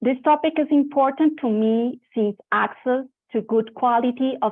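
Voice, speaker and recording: Speaking with a Spanish accent, a woman keeps a moderate pace and ordinary pitch variation. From Colombia (Bogota). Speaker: event host and moderator, cancer survivor. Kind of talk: scripted introduction to a panel session.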